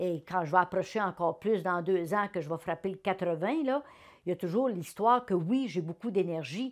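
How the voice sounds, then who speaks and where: A woman with a Quebec accent, medium pitch, ordinary pitch variation, moderate pace, and a quiet background. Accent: Québécois French. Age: 70s. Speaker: retired politician. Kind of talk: interview testimony. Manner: animated.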